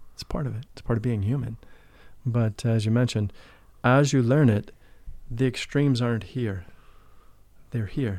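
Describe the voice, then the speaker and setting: A man with an American accent speaks in a dark, mellow tone with fairly even intonation. Long, frequent pauses fill a very clean recording with a silent background. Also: medium pitch for a man, moderate pace. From US Midwest, St. Louis. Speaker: spiritual teacher and life coach. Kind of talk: interview.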